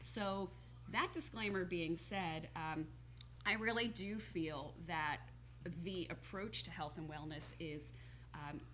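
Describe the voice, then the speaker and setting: With a New Jersey accent, a woman talks at a very slow pace with long, frequent pauses and audible room echo. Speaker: holistic health coach. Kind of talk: TV talk show interview.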